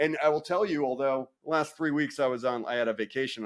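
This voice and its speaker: In an American accent, a man talks at a fairly quick pace with a fairly high pitch and an animated tone. The recording is very clean, with a silent background. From New York City. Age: 40s. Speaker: soccer and rugby referee, content creator. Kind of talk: casual podcast interview.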